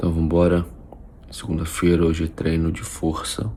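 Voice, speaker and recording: A man speaks in a very deep, low voice at a fairly slow pace. Noticeable background noise runs underneath. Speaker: nutritionist vlogger. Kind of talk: casual vlog. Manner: quiet, speaking low.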